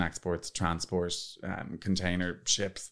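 A man speaks with an Irish accent in a very deep, low pitch. The recording is very clean, with a silent background. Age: 30s. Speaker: PR agency owner and influencer. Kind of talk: casual interview chat. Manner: animated.

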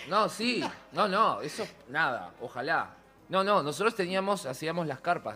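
Animated in tone, a man speaks at a high pitch with lively intonation. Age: 50s. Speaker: theatre producer and costume designer. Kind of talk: interview.

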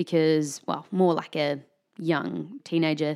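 The speaker has a New Zealand accent and talks at a moderate pace. The recording is very clean, with a silent background. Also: woman. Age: 20s. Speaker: university student. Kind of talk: casual interview.

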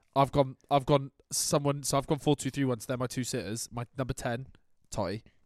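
A man at medium pitch and a fairly quick pace, an ordinary speaking voice with fairly even intonation, in a dry, close sound with no echo. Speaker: football podcast host. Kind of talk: casual chat. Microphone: crackling, broken mic.

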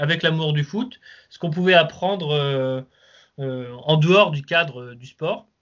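Ordinary pitch variation marks a man's unremarkable speaking voice, pitched fairly high. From Lens area, northern France. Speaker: football fan channel creator. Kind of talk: casual chat.

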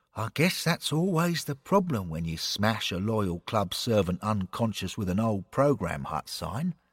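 A man puts on a character voice, fairly low in pitch with a slightly husky edge and big pitch swings. He goes at a fairly slow pace on a very clean recording with a silent background.

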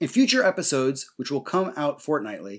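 A man speaks with a New Jersey accent at a moderate pace. The recording is very clean, with a silent background. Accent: American, New Jersey. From US Northeast, New Jersey. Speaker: historian and podcast host. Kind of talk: scripted narration.

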